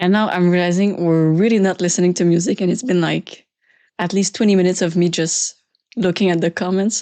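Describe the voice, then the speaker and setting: A woman speaks with a Quebec French accent at medium pitch, her tone dark and mellow. Her intonation is fairly even, her loudness very even, her pace fairly quick, and the background is quiet. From Quebec, Canada. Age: 20s. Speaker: youtuber. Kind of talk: live stream Q&A. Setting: live stream. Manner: casual, halting.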